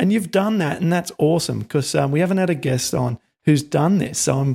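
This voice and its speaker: Speaking at a fairly quick pace, the voice sounds dark, mellow and somewhat breathy, with lively intonation. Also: man. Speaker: podcast host. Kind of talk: interview. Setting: video call. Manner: animated.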